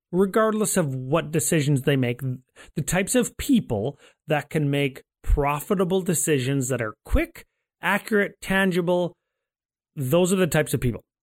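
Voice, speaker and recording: A man with a fairly high pitch speaks loudly at a moderate pace, animated in tone and with lively intonation. The recording is very clean with a silent background and a dry, close sound with no echo. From Canada. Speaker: guest, card game player. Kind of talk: casual chat. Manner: loud, animated.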